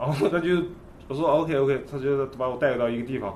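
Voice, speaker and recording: This man's voice is fairly high and somewhat breathy, at a moderate pace. Room echo is audible. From China, Nanjing. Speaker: skateboard photographer. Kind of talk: casual chat.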